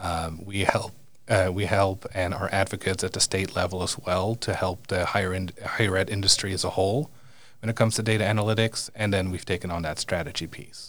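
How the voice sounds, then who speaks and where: The recording is very clean with a silent background, and the intonation stays fairly even. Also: man, very deep, low pitch for a man. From Netherlands. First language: Dutch. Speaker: university administrator. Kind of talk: interview. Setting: studio. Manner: hesitant, many fillers.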